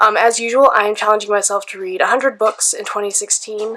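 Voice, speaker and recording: Very fast talking with ordinary pitch variation over noticeable background noise. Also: woman. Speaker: book vlogger. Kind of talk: casual vlog talk. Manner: hesitant, many ums.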